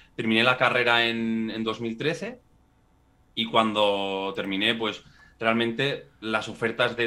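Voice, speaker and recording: A man's plain, everyday voice, medium in pitch, at a fairly slow pace with fairly even intonation. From Spain, Pamplona (Navarre). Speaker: residency relocation consultant. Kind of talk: interview.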